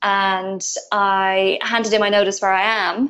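An Irish accent against a quiet background. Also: woman. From Ireland. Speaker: entrepreneur. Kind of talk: interview.

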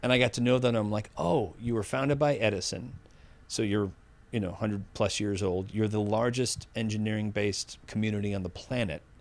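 Over a silent background on a very clean recording, a man with an American accent and an ordinary speaking voice talks at a fairly quick pace and fairly low pitch. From Massachusetts (Needham, near Boston). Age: 50s. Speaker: AI ethics expert. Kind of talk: interview.

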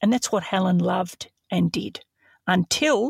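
The speaker has an Australian accent and a fairly slow pace. The recording is very clean, with a silent background and a dry, close sound with no echo. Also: woman. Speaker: true crime podcast host.

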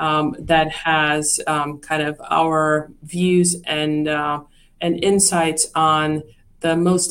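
Recorded very cleanly against a silent background, a woman with a Czech accent speaks in a very deep, low pitch with monotone, flat intonation. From Czechoslovakia. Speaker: investment firm executive. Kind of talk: interview. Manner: hesitant with many fillers.

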